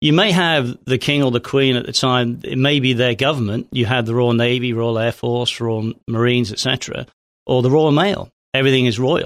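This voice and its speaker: Speaking fairly quickly in a southern English accent, a man keeps his loudness very even, with a medium pitch and ordinary pitch variation. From southern England (Hampshire). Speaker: former police officer. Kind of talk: casual chat.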